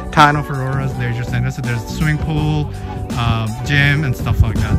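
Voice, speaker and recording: At a moderate pace, the voice comes through with a dry sound and no echo while loud music plays in the background. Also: man. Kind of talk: casual vlog chat. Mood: relaxed, cheerful. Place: open country. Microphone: phone near.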